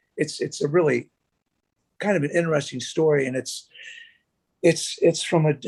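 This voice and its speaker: A man with an American accent speaks in a fairly high pitch at a moderate pace, his intonation fairly even and his speech broken by long, frequent pauses. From US Northeast. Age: 60s. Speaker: bassist. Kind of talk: casual chat.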